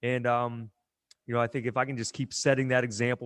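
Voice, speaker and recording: With an American accent, a man talks very fast in a flat monotone at medium pitch, recorded dry and close with no echo against a quiet background. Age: 40s. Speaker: gym owner and strength coach. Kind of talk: casual interview chat.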